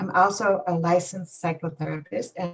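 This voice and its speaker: A woman with a Polish accent, a fairly low, somewhat breathy voice and a fairly slow pace. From Poland. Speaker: acupuncturist and psychotherapist. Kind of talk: interview. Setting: live stream.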